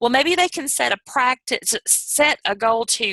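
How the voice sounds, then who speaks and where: With a Southern US accent, a woman speaks at a moderate pace in a bright, sharp tone with lively intonation, the sound dry and close with no echo over a quiet background. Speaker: youth program trainer. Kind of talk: training presentation. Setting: video call. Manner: careful clear enunciation.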